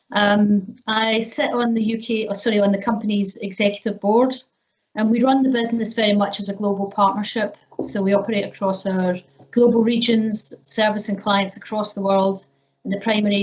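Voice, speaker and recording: A woman with a Scottish accent talks at a fairly quick pace. Her voice is somewhat breathy, and her intonation is monotone and flat. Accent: Scottish, retained. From Scotland. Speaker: business executive, panelist. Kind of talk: panel discussion.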